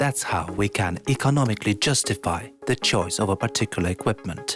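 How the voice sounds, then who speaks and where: Backed by music, a man talks at a fairly quick pace with lively intonation. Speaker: English teacher and voiceover narrator. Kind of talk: corporate promo narration.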